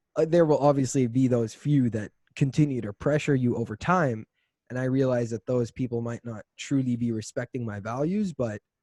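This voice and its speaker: Against a quiet background, a man with a dark, mellow tone speaks at a moderate pace and medium pitch, with ordinary pitch variation and a dry, close sound with no echo. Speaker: podcast host, university student. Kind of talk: casual chat.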